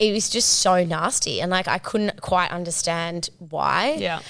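This woman has a normal speaking voice at a medium pitch with lively intonation. She talks at a fairly slow pace. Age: 30s. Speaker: advertising agency owner and content creator. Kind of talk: casual chat.

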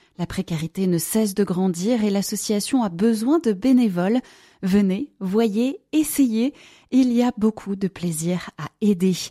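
A woman speaks very slowly at medium pitch, somewhat breathy, with a dark, mellow tone and lively intonation. The sound is dry and close with no echo, on a very clean recording with a silent background. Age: 30s. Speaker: charity volunteer. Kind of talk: recorded appeal.

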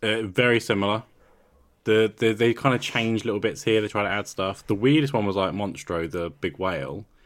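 Speaking at a fairly quick pace, a man has a normal speaking voice, a fairly low pitch and ordinary pitch variation. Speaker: podcast host. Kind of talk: casual chat.

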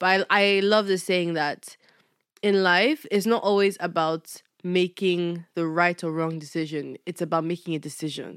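A woman with a fairly low pitch speaks in an unremarkable speaking voice at a moderate pace, her intonation fairly even. The recording is very clean with a silent background and a dry, close sound with no echo. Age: 20s. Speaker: podcast co-host. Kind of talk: casual chat.

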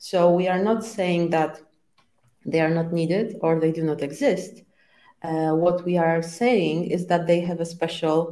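Delivered at a moderate pace with a Polish accent, the voice has a dark, mellow tone and fairly even intonation. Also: woman. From Poland. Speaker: scrum trainer. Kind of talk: casual interview.

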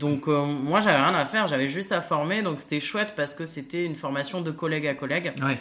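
A woman talks in a very deep, low pitch with hardly any pauses. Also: ordinary pitch variation, fairly quick pace. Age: 30s. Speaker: nurse turned trainer. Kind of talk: casual chat. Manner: hesitant, many fillers.

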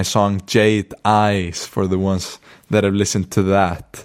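In an Icelandic accent, a man speaks at a fairly low pitch on a very clean recording with a silent background. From northern Iceland. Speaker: podcast host. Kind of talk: monologue storytelling. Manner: casual, relaxed.

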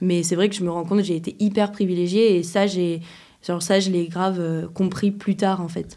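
A woman's medium-pitched voice, dark and mellow in tone, at a moderate pace with monotone, flat intonation. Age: 20s. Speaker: musician. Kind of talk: casual chat.

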